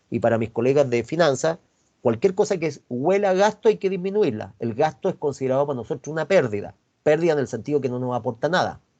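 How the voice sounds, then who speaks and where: Against a quiet background, a man with a Chilean accent talks at a very fast pace, his fairly high voice dark and mellow with very wide pitch swings. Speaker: university finance professor. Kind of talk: online lecture.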